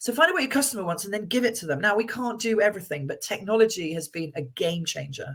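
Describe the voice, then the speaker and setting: The woman's voice is loud. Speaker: financial firm chief executive. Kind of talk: interview.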